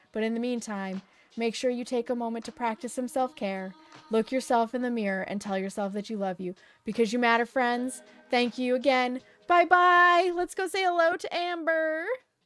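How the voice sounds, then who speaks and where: Music plays in the background as a woman with a high pitch speaks at a moderate pace, her pitch swinging very widely. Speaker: livestreamer. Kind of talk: casual chat. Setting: livestream.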